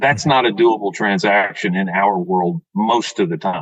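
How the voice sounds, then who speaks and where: In an ordinary speaking voice, a man talks at a moderate pace and medium pitch with lively intonation. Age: 60s. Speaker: dental practice sales broker. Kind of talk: podcast interview.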